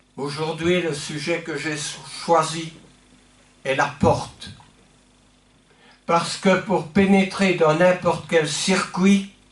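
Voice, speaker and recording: A man with a high pitch talks at a very slow pace, with long, frequent pauses and fairly even intonation. Room echo is audible. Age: 70s. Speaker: pastor. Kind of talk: sermon. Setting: church.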